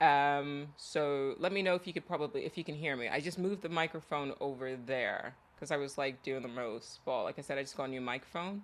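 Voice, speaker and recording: With an American accent, a man talks at a fairly quick pace with hardly any pauses. His pitch is fairly high, with ordinary pitch variation. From Nigeria. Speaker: artist livestreamer. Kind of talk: casual livestream chat. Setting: livestream. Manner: loud.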